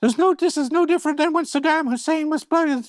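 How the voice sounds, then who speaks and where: A man's put-on character voice in falsetto, extremely high in pitch and at a very fast pace. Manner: mock, exaggerated.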